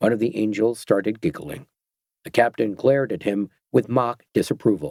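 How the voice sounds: A natural reading voice with fairly even intonation and a quiet background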